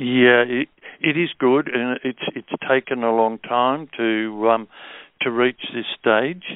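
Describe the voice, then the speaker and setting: At a very slow pace, a man with an Australian accent talks at medium pitch with fairly even intonation. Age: 70s. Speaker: naturopath. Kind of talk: interview. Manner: halting.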